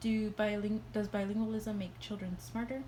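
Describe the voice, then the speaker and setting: A woman with a Spanish accent speaks at a moderate pace. Her somewhat breathy voice is fairly high in pitch, with a dark, mellow tone. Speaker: student. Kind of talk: class presentation. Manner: hesitant, many fillers.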